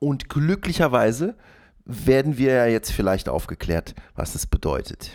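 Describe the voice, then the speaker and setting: A man at medium pitch swings his pitch very widely. The recording is very clean, with a silent background. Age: 40s. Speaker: solo podcaster. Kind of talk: casual monologue. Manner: rambling with many fillers.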